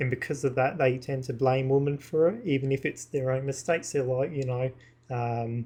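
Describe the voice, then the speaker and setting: At a moderate pace, the voice is dark and mellow in tone, somewhat breathy, with fairly even intonation. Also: man, medium pitch for a man. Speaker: YouTuber / vlogger. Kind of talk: casual monologue to camera. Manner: halting, with many fillers; partly reading from screens.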